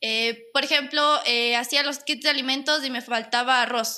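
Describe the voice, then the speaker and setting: On a very clean recording with a silent background, a woman speaks at a high pitch with a bright, sharp tone. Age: 20s. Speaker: product designer, former beauty pageant queen. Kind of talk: casual chat.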